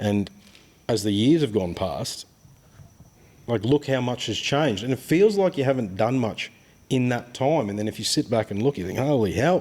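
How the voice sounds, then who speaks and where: A man with an Australian accent speaks at a medium pitch, his intonation lively and broken by long, frequent pauses. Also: moderate pace. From Australia, childhood partly in Ghana and Papua New Guinea. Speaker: boat builder. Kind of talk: casual chat. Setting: boat workshop. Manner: animated.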